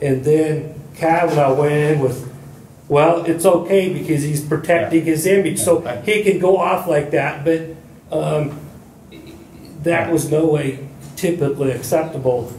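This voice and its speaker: A man with a fairly high pitch speaks at a moderate pace with fairly even intonation. Audible room echo and light background noise surround him. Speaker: audience member. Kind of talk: audience discussion. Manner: halting. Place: meeting room. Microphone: camera far.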